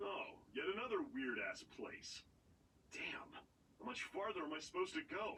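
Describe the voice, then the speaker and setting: Putting on a gruff character voice, a man speaks at a high pitch and a moderate pace, with long, frequent pauses. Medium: video game. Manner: gruff, swearing.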